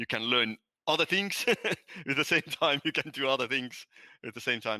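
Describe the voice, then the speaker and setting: A man with a Nordic accent at a moderate pace, bright and sharp in tone, dry and close with no echo, on a very clean recording with a silent background. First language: Estonian. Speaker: language app founder, ex-physicist. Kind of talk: podcast interview. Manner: halting.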